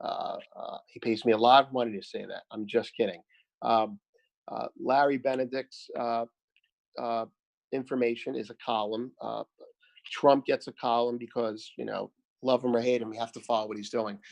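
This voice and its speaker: A man at a moderate pace, with big swings in loudness, long and frequent pauses, and a dry, close sound with no echo. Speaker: market commentator. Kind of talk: live market analysis stream. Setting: live stream. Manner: hesitant, many filler sounds.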